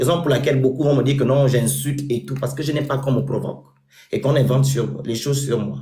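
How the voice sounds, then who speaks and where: Over audible room echo, a man speaks in a dark, mellow tone with vocal fry and monotone, flat intonation. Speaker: social media personality and charity founder. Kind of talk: interview.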